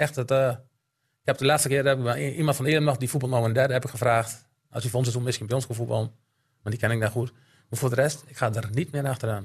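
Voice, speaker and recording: A somewhat breathy man at a very fast pace, with fairly even intonation over a quiet background. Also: medium pitch for a man. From Drenthe, Netherlands (Elim). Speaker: amateur football coach and snack bar owner. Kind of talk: casual chat.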